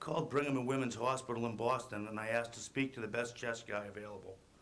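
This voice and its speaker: Fairly quick male speech at medium pitch, with audible room echo and noticeable background noise. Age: 40s. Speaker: construction worker. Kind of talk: testimony. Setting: public hearing. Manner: reading prepared statement.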